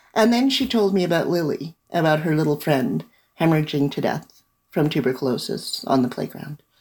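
A woman with a Canadian accent speaks at a fairly quick pace. Her very deep, low voice swings very widely in pitch. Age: 60s. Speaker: novelist and lawyer. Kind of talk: interview. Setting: remote call.

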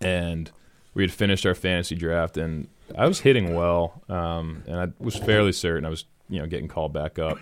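On a very clean recording with a silent background, a man with an American accent talks at a fairly quick pace in a very deep, low pitch with fairly even intonation. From Massachusetts, New England. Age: 20s. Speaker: professional baseball player. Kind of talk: casual interview.

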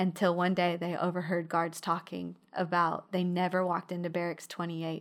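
A woman in a Texan accent speaks with a fairly low pitch and monotone, flat intonation. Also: very clean recording, silent background. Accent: Texan US Southern. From Texas, Midland. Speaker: pastor's wife. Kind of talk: casual chat. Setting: in-person studio office.

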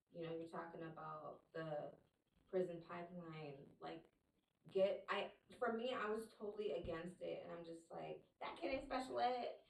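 With an American accent and vocal fry, a woman speaks at a moderate pace, her pitch swinging very widely. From US, Liberian family. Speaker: special education teacher. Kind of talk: casual interview chat. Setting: studio.

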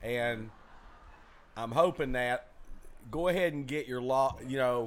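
This man has a Southern US accent. His intonation is lively and his pace moderate.

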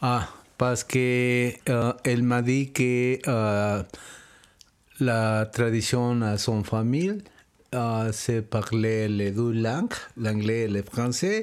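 A man with a Spanish accent speaks very slowly at a medium pitch, with long, frequent pauses. His intonation stays fairly even and his loudness very even. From Mexico City. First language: Spanish (speaking French). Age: 60s. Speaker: interviewee, father. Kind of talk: interview. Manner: halting.

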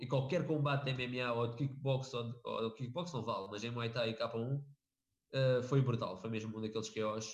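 Speaking with a European Portuguese accent, a man has a medium pitch, fairly even intonation, a moderate pace and a somewhat breathy sound. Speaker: MMA podcast co-host. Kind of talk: casual chat.

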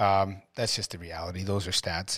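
A man's plain, everyday voice, fairly low in pitch, with a Canadian accent and a fairly quick pace on a very clean recording with a silent background. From Ontario, Canada (Ottawa). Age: 40s. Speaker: realtor and home builder. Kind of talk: interview. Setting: studio.

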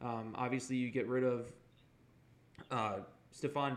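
A man talks at a moderate pace and a medium pitch, with a bright, sharp tone. His intonation stays monotone and flat, and audible room echo surrounds him. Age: 20s. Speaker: sports podcast host. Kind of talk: casual chat.

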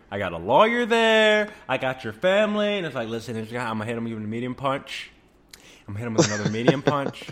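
Over noticeable background noise, a man at a medium pitch talks at a fairly quick pace with very wide pitch swings. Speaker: fighting game podcast host. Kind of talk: angry comedic rant about scrub players, with acted-out dialogue. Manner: animated, exasperated, fired up.

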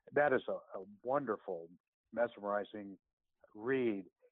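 A man speaks with a Midwestern accent. His medium-pitched voice keeps fairly even intonation. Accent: General American (Midwest). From US Midwest (Columbus, Ohio). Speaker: intensive care physician and researcher. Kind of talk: interview on medical topics.

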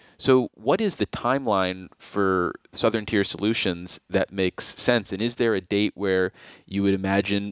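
Using a plain, everyday voice, a man speaks fairly low and fairly slowly with fairly even intonation, the sound dry and close with no echo. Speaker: radio host. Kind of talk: interview. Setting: studio.

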